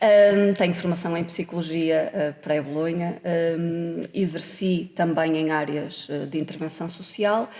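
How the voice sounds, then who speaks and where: A woman with a normal speaking voice talks at a fairly slow pace and a fairly low pitch, her intonation fairly even. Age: 40s. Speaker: politician. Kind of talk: podcast interview.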